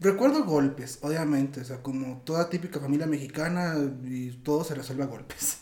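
An ordinary speaking voice with fairly even intonation at a moderate pace. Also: man. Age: 20s. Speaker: interview guest. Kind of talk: casual conversation.

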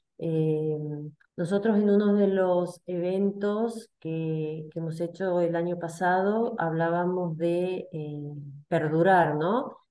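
A woman's fairly low, dark, mellow voice at a very slow pace, with fairly even intonation and audible room echo. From Argentina, Salta. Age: 50s. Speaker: community member, compliance worker. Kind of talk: casual chat.

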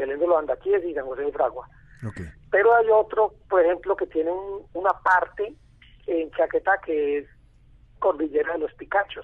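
High pitch from a man, with ordinary variation in the melody. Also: moderate pace. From Colombia, Antioquia. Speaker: biology professor and protected-areas coordinator. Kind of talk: radio interview. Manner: halting, many fillers.

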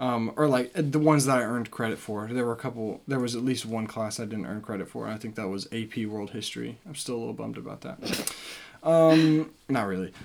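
A man at medium pitch with an American accent, talking at a fairly quick pace over noticeable background noise. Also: ordinary pitch variation. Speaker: podcast co-host, college student. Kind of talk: casual chat.

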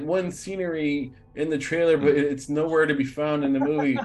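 Against background music, a man speaks at a moderate pace with a fairly high pitch and ordinary pitch variation. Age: 40s. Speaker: podcast host. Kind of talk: casual interview chat.

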